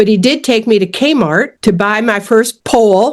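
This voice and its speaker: A woman with an American accent has a normal speaking voice at a fairly high pitch. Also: very clean recording, silent background. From US Midwest, suburbs of Detroit, Michigan. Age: 60s. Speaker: fly casting instructor and fishing guide. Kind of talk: interview.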